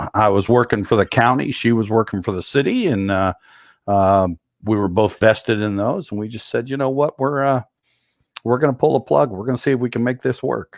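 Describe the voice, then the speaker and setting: An ordinary speaking voice from a man at medium pitch, ordinary pitch variation, and a very clean recording with a silent background. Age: 60s. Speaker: retired military veteran. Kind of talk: interview.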